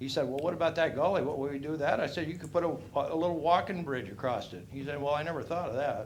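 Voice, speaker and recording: A man with an American accent rushes along at a very fast pace with hardly any pauses, using a fairly high pitch and ordinary pitch variation, amid audible room echo and noticeable background noise. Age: 60s. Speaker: resident speaking at public comment. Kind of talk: public comment at city council. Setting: city council meeting. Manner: casual, rambling and conversational.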